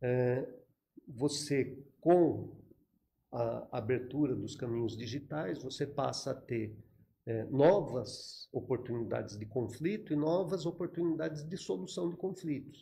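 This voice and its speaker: A man's medium-pitched, dark, mellow voice, somewhat breathy, fairly slow, with lively intonation. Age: 60s. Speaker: retired federal police chief. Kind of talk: podcast interview.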